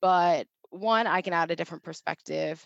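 Against a quiet background, a woman with a plain, everyday voice speaks at a fairly low pitch and a moderate pace in an American accent. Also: dry, close sound with no echo. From Ohio, Cincinnati. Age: 20s. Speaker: population health specialist. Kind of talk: casual interview.

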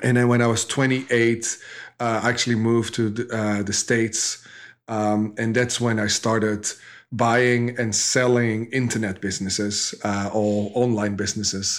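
A man talks with a Dutch accent. His intonation stays monotone and flat. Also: medium pitch for a man, moderate pace. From Netherlands. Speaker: e-commerce entrepreneur. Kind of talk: interview. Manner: halting.

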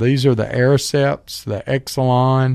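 Moderate pace and medium pitch in a man's voice, with a dark, mellow tone. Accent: Southern US. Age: 40s. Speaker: radio host and medical professional. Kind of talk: casual chat.

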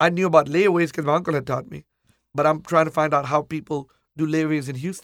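The man's intonation stays fairly level while he talks very fast. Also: fairly high pitch for a man. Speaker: furniture store owner. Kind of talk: interview storytelling.

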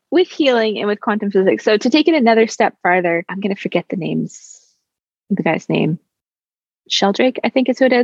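A woman talks at a moderate pace with lively intonation and vocal fry. The sound is dry and close, with no echo. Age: 30s. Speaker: chiropractor and women's health practitioner. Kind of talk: interview conversation.

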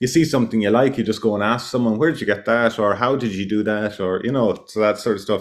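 A man speaks with an Irish accent. The background is quiet. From west of Ireland. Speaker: self-builder. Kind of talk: interview. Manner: halting.

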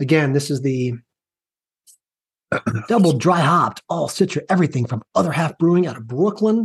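Using a raspy put-on character voice, a man speaks at a moderate pace and a fairly high pitch for a man, with long, frequent pauses. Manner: exaggerated announcer delivery.

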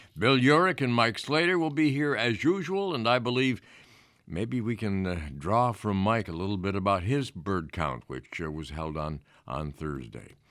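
A man with an American accent speaks at a fairly low pitch, his voice swinging very widely up and down. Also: moderate pace. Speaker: radio host. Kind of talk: casual chat. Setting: studio. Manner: halting.

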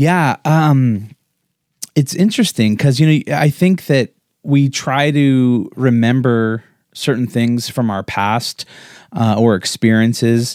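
A man with an American accent and a medium pitch speaks at a very slow pace with ordinary pitch variation, on a very clean recording with a silent background and a dry, close sound with no echo. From Colorado, US. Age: 40s. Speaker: podcast co-host, entrepreneur. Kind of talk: casual chat, life story interview. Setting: livestreamed video podcast.

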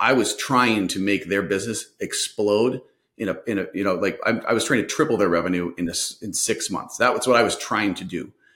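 With an Upper Midwest accent, a man speaks at a fairly quick pace in a fairly low pitch with ordinary pitch variation. The recording is very clean, with a silent background. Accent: Upper Midwest American. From Minnesota. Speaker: sales consultant. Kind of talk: interview.

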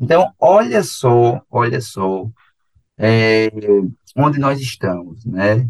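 A man with a medium-pitched voice speaks with lively intonation at a very slow pace. Long, frequent pauses break up his speech, and the sound is dry and close with no echo. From Brazil, Paraíba (João Pessoa). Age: 30s. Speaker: geography teacher. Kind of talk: radio lecture. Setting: radio studio. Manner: animated.

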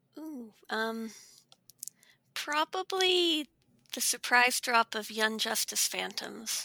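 A woman speaks at a very slow pace with long, frequent pauses, her high voice bright and sharp in tone. Her intonation is lively, and her loudness swings widely. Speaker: game reviewer. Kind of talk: casual roundtable discussion.

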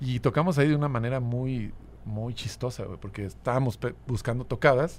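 Marked by vocal fry, the voice moves at a fairly quick pace with ordinary pitch variation. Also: man. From Mexico City. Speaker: musician. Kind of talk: casual chat.

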